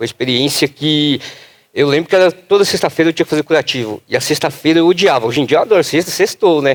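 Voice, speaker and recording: An animated man speaks at a very fast pace with a fairly high pitch and ordinary pitch variation. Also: dry, close sound with no echo. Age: 20s. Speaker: patient advocate. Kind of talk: panel discussion.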